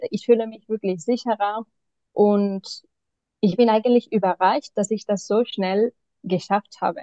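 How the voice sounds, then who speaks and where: The voice has a dark, mellow tone and fairly even intonation, with a dry, close sound and no echo. It moves at a fairly slow pace with long, frequent pauses. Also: woman, fairly high pitch for a woman. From Spain, Barcelona. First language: Spanish or Catalan (speaking German). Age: 30s. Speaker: mentoring client, single mother. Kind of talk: interview answers. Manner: halting, many fillers.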